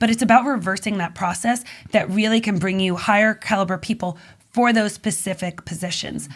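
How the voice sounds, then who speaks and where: On a very clean recording with a silent background, a woman at medium pitch speaks somewhat breathily at a fairly quick pace with ordinary pitch variation. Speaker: magazine publisher and business consultant. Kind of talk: podcast interview. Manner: fast.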